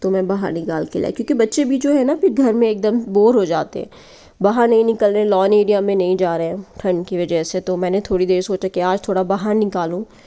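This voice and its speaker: A woman's dark, mellow tone shows ordinary pitch variation as she talks at a moderate pace. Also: medium pitch for a woman. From Lucknow, northern India. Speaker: vlogger. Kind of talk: vlog narration. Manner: casual, conversational.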